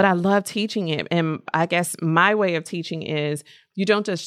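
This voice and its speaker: A normal speaking voice: a woman with an American accent, fairly low pitch, ordinary pitch variation and a moderate pace, on a very clean recording with a silent background. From US Mid-Atlantic, Baltimore area, Maryland. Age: 40s. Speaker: makeup artist and lash educator. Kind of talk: casual interview.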